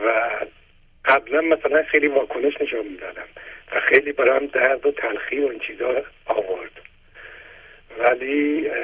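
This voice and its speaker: This man has a fairly high pitch and talks at a moderate pace with ordinary pitch variation. His loudness swings widely, and he leaves long, frequent pauses. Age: 60s. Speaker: caller. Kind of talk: phone-in testimony.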